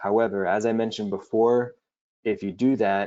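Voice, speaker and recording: A man talks at a moderate pace in a monotone with flat intonation. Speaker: webinar host. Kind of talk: webinar Q&A tutorial. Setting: online webinar.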